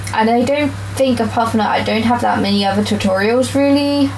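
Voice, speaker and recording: A woman talks with very even loudness. The recording has audible room echo and noticeable background noise. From England, Wiltshire countryside. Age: 20s. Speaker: manga artist streamer. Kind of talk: casual live-stream chat while drawing. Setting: home room, live stream. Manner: slurs words at times due to speech disorder; hesitant, many fillers.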